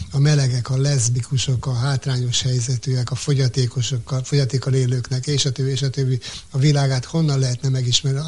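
The intonation is monotone and flat. Words come out at a very fast pace. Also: man. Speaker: community radio manager. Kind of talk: interview. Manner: halting.

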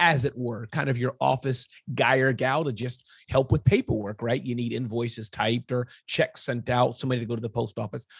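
A somewhat breathy man at a medium pitch and fairly quick pace, in a dry, close sound with no echo. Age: 40s. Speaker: entrepreneur and small business consultant. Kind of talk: interview.

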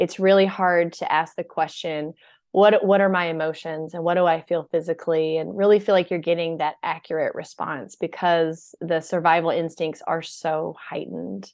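A woman with a plain, everyday voice speaks at a moderate pace in a fairly low pitch with fairly even intonation. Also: hardly any pauses. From US South. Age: 40s. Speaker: burnout expert and author. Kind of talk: podcast interview.

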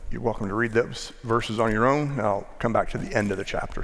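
With an American accent, a man talks at a fairly quick pace with ordinary pitch variation, and audible room echo surrounds him. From US, northwest Maryland. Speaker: pastor. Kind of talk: sermon. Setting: church.

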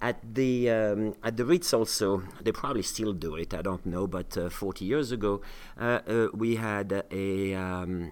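Speaking at a very slow pace, a man has a French accent. His pitch is fairly low. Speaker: chef and cooking school co-host. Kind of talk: storytelling in casual chat. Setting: studio. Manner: halting, many fillers.

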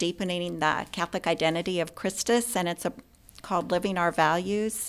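A woman with an American accent and a fairly low pitch, a plain, everyday voice at a fairly quick pace, ordinary pitch variation, on a very clean recording with a silent background. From US Pacific Northwest, Spokane, Washington. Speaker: healthcare executive. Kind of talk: interview.

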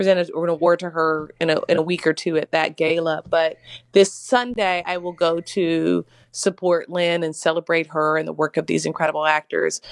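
A woman's plain, everyday voice, fairly low in pitch, at a moderate pace, with a dry, close sound, no echo and a quiet background. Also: fairly even intonation. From US South, Mississippi. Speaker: actress. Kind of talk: interview.

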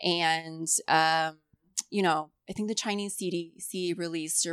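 In a very clean recording with a silent background, a woman with an ordinary speaking voice and a fairly low pitch talks with fairly even intonation. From Indiana, US Midwest.

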